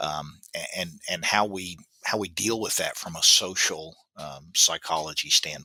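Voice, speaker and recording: With a Southern US accent, a man speaks at a fairly slow pace in a very deep, low pitch, his bright, sharp tone showing ordinary pitch variation and big swings in loudness. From US South, Baton Rouge, Louisiana. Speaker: grief expert, professor. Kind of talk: interview. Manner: halting, many fillers.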